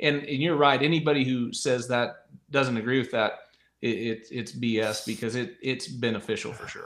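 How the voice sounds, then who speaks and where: He has a normal speaking voice, with an American accent and ordinary pitch variation. The man's pace is fairly quick. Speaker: podcast host, retired rodeo rider turned broadcaster. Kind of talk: casual chat.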